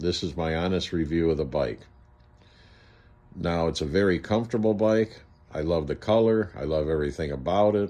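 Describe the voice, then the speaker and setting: With long, frequent pauses, a man talks at a very deep, low pitch in a dark, mellow tone with ordinary pitch variation. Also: moderate pace. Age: 60s. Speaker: e-bike reviewer. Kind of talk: casual product review. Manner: casual, hesitant with fillers.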